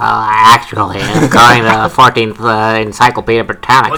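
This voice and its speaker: The speaker puts on a character voice with a low pitch. Light background noise can be heard. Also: moderate pace. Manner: nerdy, pedantic.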